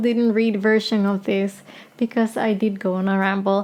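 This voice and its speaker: A woman speaks at a moderate pace in a Spanish accent. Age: 30s. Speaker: singer-songwriter. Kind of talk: casual vlog chat. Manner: rambling, hesitant.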